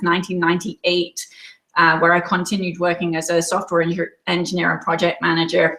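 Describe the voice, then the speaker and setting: Her pitch sits fairly low for a woman. She moves along at a fairly quick pace. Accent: English. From England. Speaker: quilt designer. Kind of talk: webinar presentation. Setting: online webinar from home.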